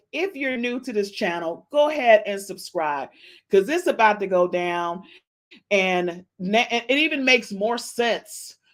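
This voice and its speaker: A woman's fairly high voice, animated in tone and lively in intonation, at a fairly slow pace in a very clean recording with a silent background. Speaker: gossip podcast host. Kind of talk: casual celebrity gossip monologue.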